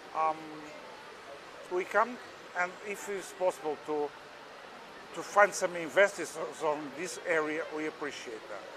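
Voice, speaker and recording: Ordinary pitch variation in a Portuguese accent at a fairly slow pace, with noticeable background noise. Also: man. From Portugal. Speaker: machinery exhibitor. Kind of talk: interview. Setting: trade fair exhibition hall. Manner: halting, hesitant English.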